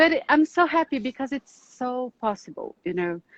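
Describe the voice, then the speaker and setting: A woman with a Brazilian accent is heard in a dry, close sound with no echo. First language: Portuguese. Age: 40s. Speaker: psychoanalyst and relationship specialist. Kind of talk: live online talk. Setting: Instagram live video stream.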